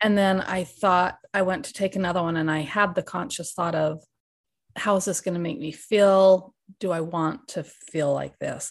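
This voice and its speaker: A woman with a plain, everyday voice, medium pitch, and moderate pace. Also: quiet background. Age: 40s. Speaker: speech therapist, former coaching client. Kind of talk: interview conversation.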